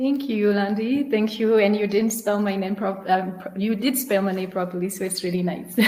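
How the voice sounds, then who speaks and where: A woman with a medium pitch speaks at a fairly quick pace, with hardly any pauses and fairly even intonation. Noticeable background noise runs underneath. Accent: French. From France. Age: 30s. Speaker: engineer and founder. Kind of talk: webinar talk. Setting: online webinar.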